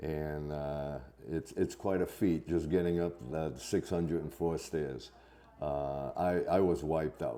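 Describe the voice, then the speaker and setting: A man's very deep, low voice with fairly even intonation at a fairly slow pace. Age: 70s. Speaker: thru-hiker. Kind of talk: casual interview.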